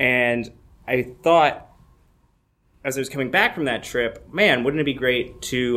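With a Midwestern US accent, a man speaks at medium pitch with ordinary pitch variation, and the room echo is audible. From Michigan. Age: 20s. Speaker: comedian. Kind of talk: live storytelling. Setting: stage with audience.

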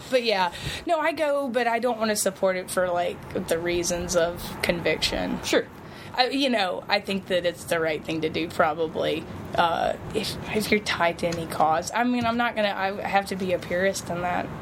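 A woman with an Alabama accent speaks at a moderate pace in a medium pitch, her intonation lively, with noticeable background noise. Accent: Southern US (Alabama). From US South, Mobile, Alabama. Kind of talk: casual chat. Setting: outdoors on a porch.

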